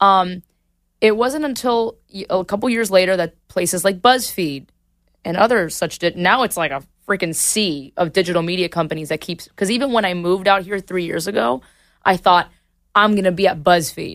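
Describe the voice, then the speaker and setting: In a very clean recording with a silent background, a woman uses a plain, everyday voice at a medium pitch, speaking at a moderate pace with lively intonation. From Miami, Cuban-American family. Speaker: comedy video creator. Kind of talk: casual interview chat. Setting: studio.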